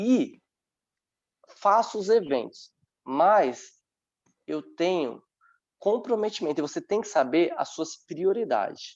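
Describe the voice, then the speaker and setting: Against a quiet background, a man with a high pitch speaks at a very slow pace, his pitch swinging very widely and his speech broken by long, frequent pauses. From Brazil, São Paulo metro area (Francisco Morato). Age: 30s. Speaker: dance teacher and dancer. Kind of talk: online panel talk.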